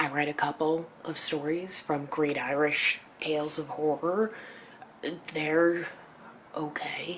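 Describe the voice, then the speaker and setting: Speech moves at a very slow pace with long, frequent pauses, and background noise is noticeable. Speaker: vlogger. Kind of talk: casual vlog talk.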